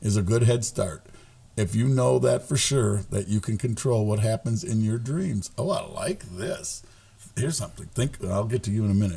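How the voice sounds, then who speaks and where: A man's somewhat breathy voice, dark and mellow in tone, with lively intonation. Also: medium pitch for a man, moderate pace. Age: 60s. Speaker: podcast co-host. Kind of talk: casual chat.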